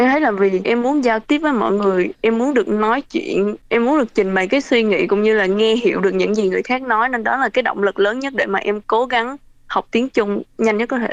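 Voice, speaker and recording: A woman with a fairly high pitch speaks at a very fast pace with hardly any pauses, very even loudness and ordinary pitch variation, in a dry, close sound with no echo. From Vietnam (Bình Thuận). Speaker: vocational student. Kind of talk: interview.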